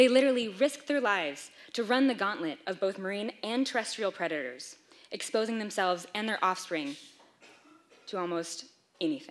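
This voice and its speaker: A woman speaks at a moderate pace, her pitch swinging very widely. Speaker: presenter. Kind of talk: lecture. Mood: lightly humorous. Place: hall.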